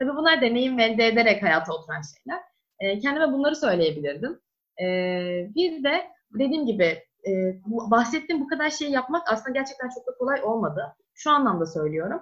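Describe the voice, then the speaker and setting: A woman's high-pitched voice with very wide pitch swings at a fairly quick pace. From Turkey, İzmir. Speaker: medical student. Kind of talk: interview.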